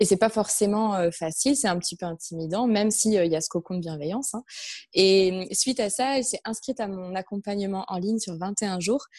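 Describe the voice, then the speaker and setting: An unremarkable speaking voice, this woman talks at a moderate pace with medium pitch and ordinary pitch variation. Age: 30s. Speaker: entrepreneur, personal development coach. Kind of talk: interview.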